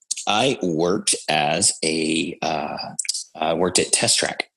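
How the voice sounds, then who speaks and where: A man with an American accent. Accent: Georgia Southern accent, comes out over time. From Georgia, US South. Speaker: podcaster. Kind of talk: casual chat.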